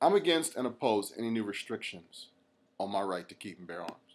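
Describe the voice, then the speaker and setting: Here a man speaks with an American accent. His pitch is medium and his pace moderate. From United States. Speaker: reverend, gun rights activist. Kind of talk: podcast commentary.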